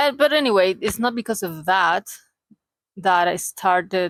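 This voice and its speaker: A woman speaks with a Chilean accent at a medium pitch. Her pace is moderate and the sound dry and close with no echo. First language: Spanish. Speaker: vlogger. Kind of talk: casual vlog monologue. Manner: halting.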